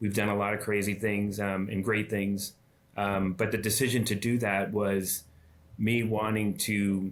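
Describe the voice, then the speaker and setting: Flat, monotone intonation and very even loudness mark this fairly slow delivery in an American accent, recorded very cleanly against a silent background. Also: man, fairly low pitch for a man. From Massachusetts. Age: 60s. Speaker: chamber of commerce president, former mayor. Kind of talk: podcast interview. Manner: halting, many fillers.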